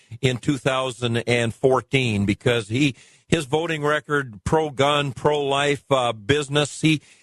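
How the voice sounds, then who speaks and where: Recorded dry and close with no echo, a man with an ordinary speaking voice talks fairly slowly at a fairly high pitch, with ordinary pitch variation. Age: 60s. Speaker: guest radio host. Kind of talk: radio interview.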